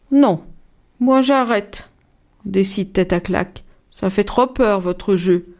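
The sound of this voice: This is an unforced reading voice. The words are read that way throughout.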